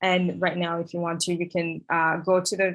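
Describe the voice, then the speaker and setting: A woman in an East African accent, fairly low-pitched and fairly slow. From East Africa, Tanzania. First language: Swahili. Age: 20s. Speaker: conference host. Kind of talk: event hosting. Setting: video call. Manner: halting, many fillers.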